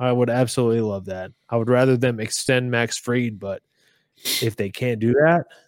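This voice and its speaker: Recorded very cleanly against a silent background, a man with an ordinary speaking voice and medium pitch talks at a moderate pace with fairly even intonation. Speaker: baseball podcast co-host. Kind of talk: casual chat.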